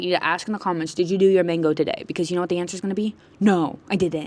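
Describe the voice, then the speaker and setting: A woman talks in an animated tone at a medium pitch. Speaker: vlogger. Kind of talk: casual vlog monologue. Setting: outdoors on a walk by a road.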